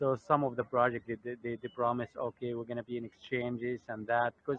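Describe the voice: A man speaks at a moderate pace with medium pitch and a fairly bright tone, the sound dry and close with no echo.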